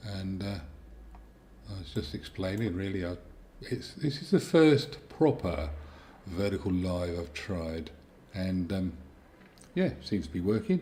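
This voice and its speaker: A man with a British accent talks at a fairly slow pace with long, frequent pauses, his very deep, low voice somewhat breathy and dark, mellow in tone. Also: lively intonation. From Britain. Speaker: YouTuber, tape deck repair. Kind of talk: casual live stream chat. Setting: vertical live stream. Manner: halting, thinking aloud.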